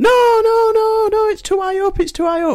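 In a put-on character voice, a man speaks at an extremely high pitch with a panicked tone and a moderate pace. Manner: panicked, frantic.

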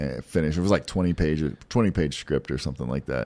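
A man speaks with an American accent and ordinary pitch variation. The recording is very clean, with a silent background. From Pasadena, Texas. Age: 40s. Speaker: strongman athlete. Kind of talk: casual chat.

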